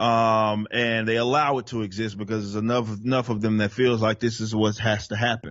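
A fairly quick, medium-pitched male voice with a Southern accent. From Dallas, Texas. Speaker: rap metal vocalist and political commentator. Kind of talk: casual interview conversation.

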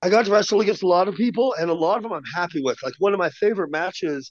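Here a man speaks with an American accent. He goes at a very fast pace over a quiet background. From Washington state, US. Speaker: professional wrestler. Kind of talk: casual chat.

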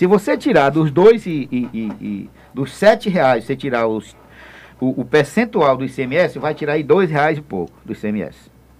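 Speaking at a fairly slow pace, a man with a fairly high pitch uses vocal fry and very wide pitch swings. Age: 60s. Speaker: state deputy, politician. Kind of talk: radio interview.

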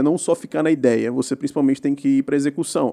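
A man's fairly high pitch in a dark, mellow tone, with fairly even intonation and a dry, close sound with no echo. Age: 20s. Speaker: tech entrepreneur. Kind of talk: casual interview.

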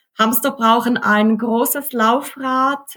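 Music plays in the background as the speaker talks with monotone, flat intonation. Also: woman. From Switzerland. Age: 30s. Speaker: hamster keeping social media creator. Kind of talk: interview.

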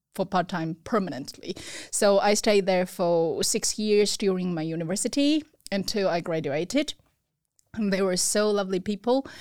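A woman speaks with a Chinese accent at a moderate pace. Her pitch varies in an ordinary way, and the recording is very clean with a silent background. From China (Beijing). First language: Mandarin Chinese. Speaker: restaurant owner. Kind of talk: interview.

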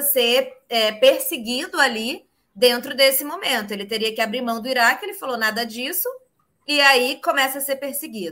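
The voice is raised and projected, with a bright, sharp tone and big swings in loudness. It moves at a moderate pace with ordinary pitch variation. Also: woman. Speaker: livestream host. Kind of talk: casual interview. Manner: animated. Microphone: phone instead of computer.

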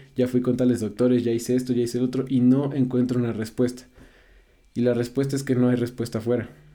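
A man talks at a very fast pace. His intonation is monotone and flat, his tone dark and mellow. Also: medium pitch for a man. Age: 20s. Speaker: psychotherapy practitioner. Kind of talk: casual chat.

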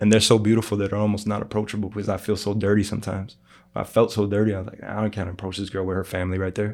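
In a very clean recording with a silent background, a man with an American accent talks at a very fast pace, his fairly low voice monotone with flat intonation. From Chicago. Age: 30s. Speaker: barber and underground rapper. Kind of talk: casual chat.

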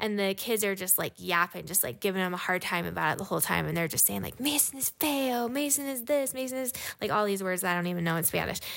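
Over a very clean recording with a silent background, a woman talks at a fairly quick pace with ordinary pitch variation and an unremarkable speaking voice. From Utah. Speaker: mother of eleven, podcast co-host. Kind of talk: casual chat.

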